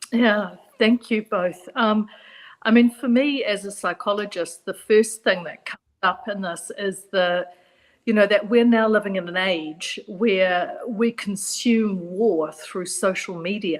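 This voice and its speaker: A woman with a New Zealand accent speaks fairly slowly. Her medium pitch shows ordinary variation. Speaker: psychologist. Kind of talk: panel discussion.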